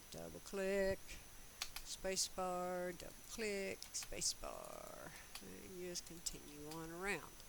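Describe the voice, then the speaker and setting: A woman's fairly low voice at a very slow pace, with audible room echo. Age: 60s. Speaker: custom sewing tutor, YouTuber. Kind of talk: tutorial with casual chat. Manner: conversational, rambling with fillers.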